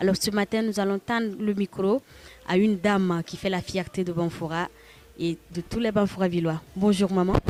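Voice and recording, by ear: A woman's slightly mellow, medium-pitched voice at a moderate pace, with fairly even intonation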